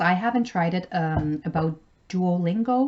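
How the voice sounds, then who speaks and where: She speaks with a French accent in a fairly low pitch for a woman. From Canada, French-speaking. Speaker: travel vlogger. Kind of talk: casual vlog tutorial.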